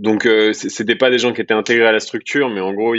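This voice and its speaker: The man's voice sits fairly low. He speaks very fast in a flat monotone. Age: 30s. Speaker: entrepreneur. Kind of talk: podcast interview.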